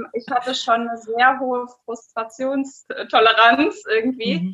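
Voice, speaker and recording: A voice speaks at a very slow pace with fairly even intonation. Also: woman. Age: 30s. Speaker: adult educator. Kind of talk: casual interview.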